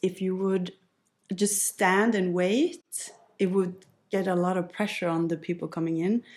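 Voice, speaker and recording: In a very clean recording against a silent background, a woman speaks at a fairly slow pace with a west Norwegian accent. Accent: west Norwegian dialect, French-like R. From west coast of Norway. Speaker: workplace culture entrepreneur. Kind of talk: podcast interview.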